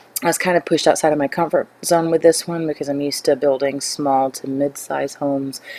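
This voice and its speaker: Recorded with a dry, close sound and no echo but noticeable background noise, a woman with an American accent speaks at a moderate pace in a very deep, low pitch. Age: 20s. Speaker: gaming YouTuber. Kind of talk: gameplay voiceover. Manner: hesitant, many fillers.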